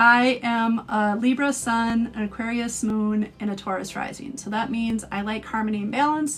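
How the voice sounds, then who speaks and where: A woman's fairly high voice, a normal speaking voice, with fairly even intonation, hardly any pauses and a moderate pace. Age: 40s. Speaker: astrologer. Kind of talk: live stream talk.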